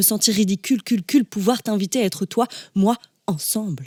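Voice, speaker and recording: In a dry, close recording with no echo, a woman with a medium pitch and a dark, mellow, somewhat breathy tone talks at a moderate pace with ordinary pitch variation. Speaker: slam poet. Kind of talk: spoken word poetry.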